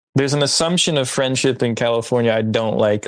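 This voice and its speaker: Intonation stays fairly even in this voice with an American accent. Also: man. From New Jersey. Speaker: podcast host. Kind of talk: casual interview chat.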